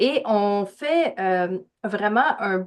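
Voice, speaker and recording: A woman with a slight Québécois accent talks at a fairly high pitch. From Quebec. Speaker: spiritual guide, podcast guest. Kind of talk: casual interview chat.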